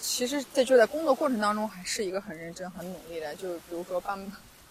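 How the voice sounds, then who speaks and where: Noticeable noise sits in the background. The intonation is lively. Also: woman. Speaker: podcast host. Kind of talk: casual interview chat. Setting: outdoors on a beach.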